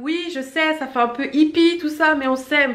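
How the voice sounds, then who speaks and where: An animated woman talks amid noticeable background noise and audible room echo. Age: 30s. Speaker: beauty vlogger. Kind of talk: casual vlog talk to camera. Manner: fast.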